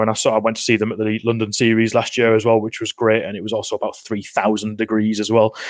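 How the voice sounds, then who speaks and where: A man with a Geordie accent speaks at a very fast pace and a fairly low pitch. The sound is dry and close with no echo. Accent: Geordie (Newcastle). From northeast England, Newcastle. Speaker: NFL podcast guest, sports fan. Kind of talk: casual chat. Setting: podcast recording.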